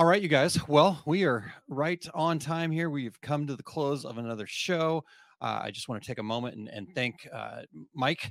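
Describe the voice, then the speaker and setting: A man's plain, everyday voice, fairly high in pitch, at a moderate pace, with ordinary pitch variation and big swings in loudness. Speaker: podcast host. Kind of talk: casual chat.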